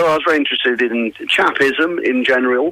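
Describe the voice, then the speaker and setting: Noticeable background noise beneath a man's voice of medium pitch. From England. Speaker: rapper. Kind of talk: interview. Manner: halting.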